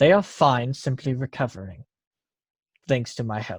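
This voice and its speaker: A man at a medium pitch performs in a put-on character voice. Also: moderate pace, very clean recording, silent background. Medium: actual play. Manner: formal, measured.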